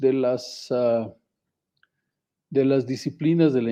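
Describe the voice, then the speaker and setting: This is a man with a normal speaking voice. His pitch is medium and his intonation fairly even. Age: 60s. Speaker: geotechnical engineer. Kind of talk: podcast interview.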